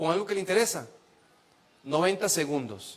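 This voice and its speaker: This is a man with a Costa Rican accent. His pitch variation is ordinary. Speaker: preacher and psychologist. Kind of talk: sermon.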